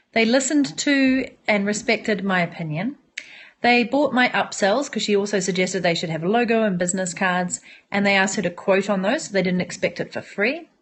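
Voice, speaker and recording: Somewhat breathy, a woman talks at a fairly quick pace in a New Zealand accent. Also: medium pitch for a woman, lively intonation. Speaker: entrepreneur and online business coach. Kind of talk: live-stream monologue to viewers. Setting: smartphone live broadcast. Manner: animated.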